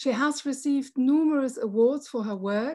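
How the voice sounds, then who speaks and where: A woman speaks with a high pitch at a fairly slow pace. The background is quiet. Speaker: professor and moderator. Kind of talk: moderated panel discussion. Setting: video call. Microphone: video call.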